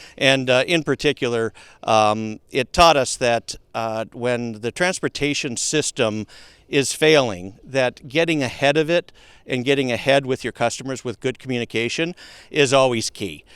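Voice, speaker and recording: A man speaks at a medium pitch and a moderate pace with a slight Minnesota accent. The sound is dry and close, with no echo. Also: ordinary pitch variation. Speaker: logistics company founder and CEO. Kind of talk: podcast interview. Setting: outdoors at a golf course. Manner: halting, many fillers.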